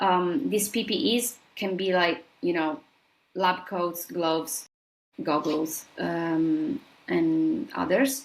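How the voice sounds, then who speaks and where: Very slow speech from a woman with an Italian accent, medium in pitch, with very wide pitch swings and very even loudness. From southern Italy. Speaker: scientist. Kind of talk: interview.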